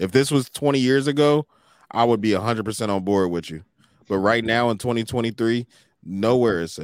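A man with an American accent talks at a fairly slow pace in a medium-pitched voice with ordinary pitch variation, an unremarkable speaking voice. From United States. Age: 30s. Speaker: podcast host. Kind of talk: casual chat.

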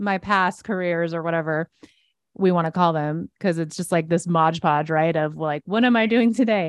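Against a quiet background, a woman with an unremarkable speaking voice talks at a moderate pace in a fairly low pitch with ordinary pitch variation, in a dry, close sound with no echo. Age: 40s. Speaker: author and Bible teacher. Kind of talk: casual interview chat.

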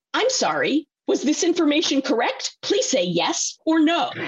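A woman uses a put-on character voice that sounds robotic, pitched high. She talks at a moderate pace. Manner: monotone, robotic.

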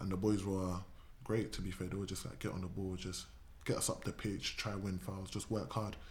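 Somewhat breathy and very deep, a man with a southern English accent talks at a fairly quick pace with fairly even intonation and audible room echo. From southern England. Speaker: footballer. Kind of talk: casual chat.

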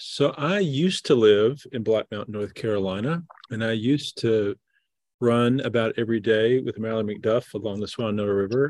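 Medium pitch from a man speaking with a Southern US accent. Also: ordinary pitch variation, moderate pace, quiet background. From US South, southeast Missouri. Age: middle-aged. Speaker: Episcopal bishop. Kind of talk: casual chat.

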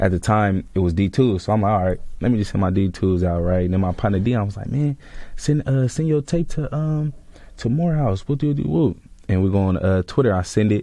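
A man with an American accent, fairly low pitch, a dark, mellow tone, lively intonation and a fairly quick pace. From Sacramento, California. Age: 20s. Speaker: recent college graduate and football player. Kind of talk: casual interview.

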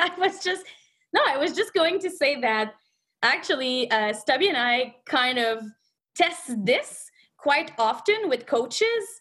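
Her intonation lively, a woman talks with a French accent. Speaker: movement coach. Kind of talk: podcast panel discussion. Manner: hesitant, self-correcting.

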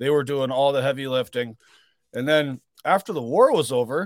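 Talking at a fairly quick pace with lively intonation, a man has an ordinary speaking voice in a Canadian accent. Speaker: truck driver and writer. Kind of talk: casual interview conversation.

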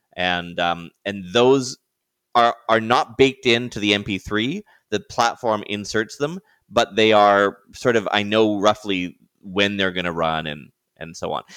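A man's unremarkable speaking voice, fairly low and fairly slow, in a very clean recording with a silent background and a dry, close sound with no echo. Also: ordinary pitch variation. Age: 50s. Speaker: podcaster, marketing agency owner, former radio broadcaster. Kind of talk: interview.

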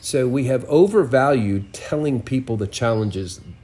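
A somewhat breathy male voice. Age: 60s. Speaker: prophetic minister. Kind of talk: interview.

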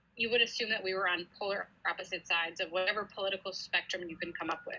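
A woman with an American accent, very fast, in a bright, sharp tone. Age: 30s. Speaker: police officer. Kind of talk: interview.

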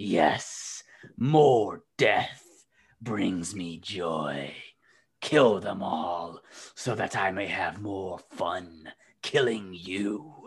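In a put-on character voice, a man growls at a very slow pace with a fairly low pitch. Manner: snarling, evil.

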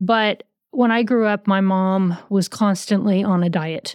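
On a very clean recording with a silent background, a woman at medium pitch uses an ordinary speaking voice with fairly even intonation. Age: 50s. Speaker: podcast host in eating disorder recovery. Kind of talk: personal testimony.

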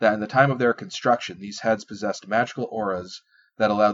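With a quiet background, a natural reading voice carries fairly even intonation.

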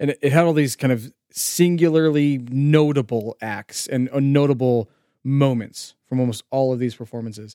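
In a dry, close sound with no echo, a man with a dark, mellow tone speaks at a moderate pace, with medium pitch and ordinary pitch variation. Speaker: podcast host. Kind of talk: casual chat.

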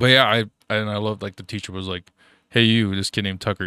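A man with a fairly low pitch and a bright, sharp tone talks at a very fast pace. The recording is very clean, with a silent background and a dry, close sound with no echo. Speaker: podcast co-host. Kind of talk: casual chat. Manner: animated.

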